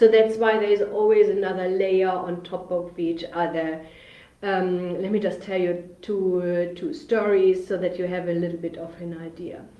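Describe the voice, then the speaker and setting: At a moderate pace, a speaker with a German accent talks in a monotone, flat intonation, with big swings in loudness, audible room echo and noticeable background noise. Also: woman, medium pitch for a woman. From Germany, Bremen. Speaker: business funding consultant. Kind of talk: live webinar presentation. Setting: livestream video on social media. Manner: hesitant, many fillers.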